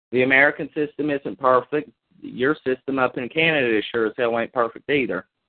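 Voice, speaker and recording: Speaking at a fairly quick pace with a Kentucky accent, a man has a medium pitch and ordinary pitch variation. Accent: Kentucky Southern US. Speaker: chat line caller. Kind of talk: heated debate. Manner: loud.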